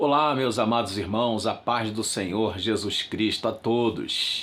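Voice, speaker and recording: A man talks at a medium pitch and a very slow pace, with very even loudness and fairly even intonation. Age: 60s. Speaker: pastor. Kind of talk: religious talk to channel viewers.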